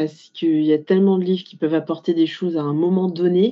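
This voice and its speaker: Delivered at a fairly quick pace, the woman's speech has monotone, flat intonation. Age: 30s. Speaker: life coach, former logistics worker. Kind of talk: interview testimony. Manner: hesitant, many fillers.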